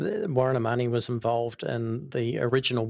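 With a New Zealand accent, a man speaks at a medium pitch. His intonation stays fairly even. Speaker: architect. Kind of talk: interview.

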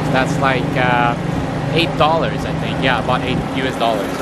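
A man talks at a moderate pace, the sound dry with no echo but loud background noise behind him. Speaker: travel vlogger. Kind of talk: casual vlog chat. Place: station. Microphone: phone near.

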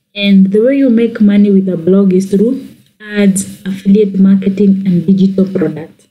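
A woman speaks at a moderate pace with a medium pitch and fairly even intonation. Her tone is dark and mellow, and somewhat breathy. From Kenya. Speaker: YouTuber. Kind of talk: tutorial.

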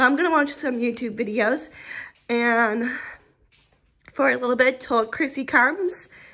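Over a quiet background, a woman with a high pitch and a bright, sharp tone speaks at a moderate pace. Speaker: vlogger. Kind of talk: casual vlog chat. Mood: a little sad. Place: home room. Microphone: phone near.

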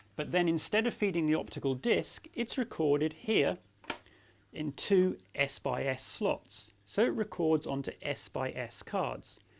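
Speaking at a fairly slow pace, a man uses a fairly high pitch, lively intonation and vocal fry.

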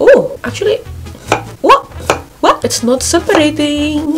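Over music in the background, a woman talks at a moderate pace. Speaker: home cooking vlogger. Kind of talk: casual vlog chat. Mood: nervous, excited, playful. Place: home room. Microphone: phone near.

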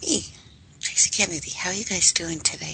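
A woman whispers at an even, moderate speed while noticeable background noise carries on behind her. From Canada. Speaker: radio host. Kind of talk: live radio talk. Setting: live radio broadcast.

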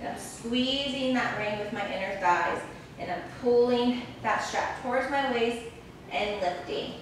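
Amid strong room echo and light background noise, a woman speaks at a fairly slow pace in a high voice. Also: ordinary pitch variation. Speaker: fitness instructor. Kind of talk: guided reformer Pilates class, instructing live exercises. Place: gym.

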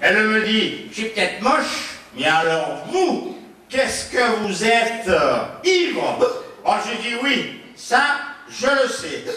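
Speaking at a very slow pace, a man uses an extremely high pitch with very wide swings, and room echo is audible. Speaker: comedian. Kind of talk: stand-up comedy show on stage. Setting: stage. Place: stage.

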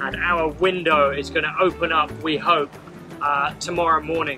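Clear music plays in the background as a man speaks with monotone, flat intonation. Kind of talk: casual vlog chat. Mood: cheerful, wry. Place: boat. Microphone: camera far.

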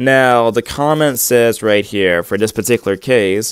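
A man at a moderate pace with ordinary pitch variation, dry sound with no echo and a quiet background. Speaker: online commentator. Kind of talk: commentary. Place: home room. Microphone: earbuds.

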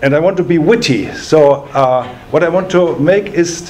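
A man with a German accent, high in pitch, fairly slow in pace, ordinary pitch variation, light background noise behind him. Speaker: law professor. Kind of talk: lecture. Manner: formal. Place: meeting room.

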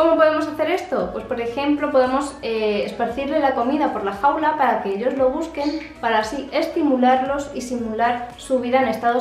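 At a fairly quick pace with hardly any pauses, a woman speaks in a high pitch amid audible room echo and light background noise. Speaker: pet care vlogger. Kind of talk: tutorial. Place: home room. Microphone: phone near.

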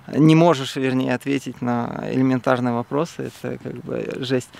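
A man at a moderate pace, with a dry sound and no echo. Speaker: interviewee. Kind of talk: interview answer. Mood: candid, slightly uneasy. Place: open country. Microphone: phone near.

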